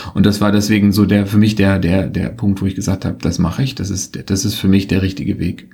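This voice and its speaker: The man's pitch is fairly low, with ordinary variation. He talks at a very fast pace with hardly any pauses. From Berlin, Germany. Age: 40s. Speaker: consultancy managing partner. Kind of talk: interview. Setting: office. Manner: halting, many fillers.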